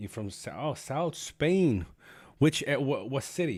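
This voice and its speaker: The recording is very clean, with a silent background. A man speaks at a moderate pace with a Spanish accent. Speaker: gaming streamer. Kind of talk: live stream gameplay commentary. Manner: casual, animated.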